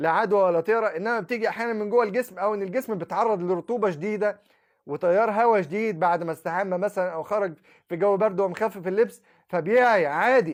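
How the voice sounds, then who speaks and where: A man with a high pitch talks fairly quickly in an animated tone. The background is quiet. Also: ordinary pitch variation. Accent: Egyptian. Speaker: Islamic preacher. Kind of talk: monologue.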